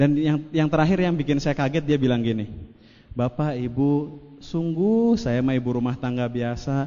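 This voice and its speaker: Speaking at a moderate pace, a man uses lively intonation in a fairly high voice. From Indonesia, West Java (Cirebon). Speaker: network marketing speaker. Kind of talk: motivational seminar talk. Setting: stage with audience. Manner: animated.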